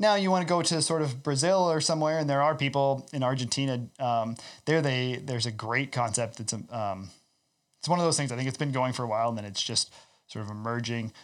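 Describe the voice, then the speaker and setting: A man with a Midwestern US accent talks at a very fast pace and a medium pitch, with ordinary pitch variation. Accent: US Midwest. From Iowa, US Midwest. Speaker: ecological farmer. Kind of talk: casual chat.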